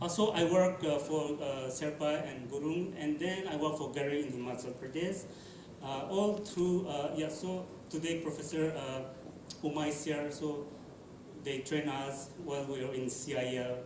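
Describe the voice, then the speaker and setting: Fairly even intonation at a moderate pace comes through audible room echo and noticeable background noise. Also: man, fairly high pitch for a man. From Nagaland, India. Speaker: field linguist documenting endangered languages. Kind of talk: panel discussion. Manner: halting, many fillers.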